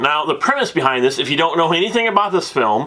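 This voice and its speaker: With a bright, sharp tone and lively intonation, a man sounds animated at a fairly high pitch. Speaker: movie reviewer. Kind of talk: movie review. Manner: loud.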